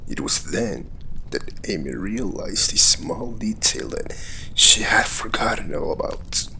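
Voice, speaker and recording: A man whispers as noticeable noise plays in the background. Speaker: amateur storyteller. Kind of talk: read story.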